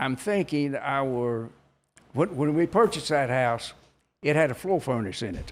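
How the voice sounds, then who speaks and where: On a very clean recording with a silent background, a man with a North Carolina accent speaks at a moderate pace, his fairly high pitch carried by lively intonation. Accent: Southern US (North Carolina). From Kannapolis, North Carolina. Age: 80s+. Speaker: retired textile mill worker. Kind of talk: interview answer.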